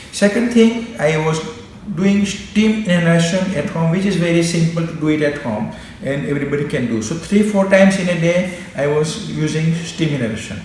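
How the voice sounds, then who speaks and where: With lively intonation and a high pitch, a man talks over noticeable background noise and audible room echo. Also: moderate pace. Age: 60s. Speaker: doctor. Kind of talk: personal testimony. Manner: halting.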